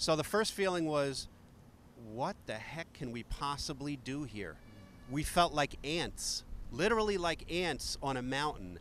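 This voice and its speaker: In a New York accent, a man talks at a fairly slow pace. His pitch is fairly high and his intonation lively. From New York, Queens. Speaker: retired firefighter. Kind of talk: interview testimony.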